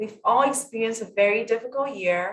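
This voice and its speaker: Somewhat breathy, the voice rises and falls with lively intonation. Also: woman. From Taiwan. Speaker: clinical psychologist. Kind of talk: scripted orientation talk.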